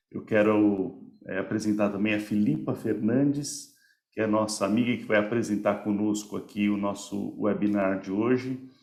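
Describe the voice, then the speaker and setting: A plain, everyday voice talks at a moderate pace with fairly even intonation. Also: man, fairly low pitch for a man. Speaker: company representative, webinar host. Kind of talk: webinar presentation.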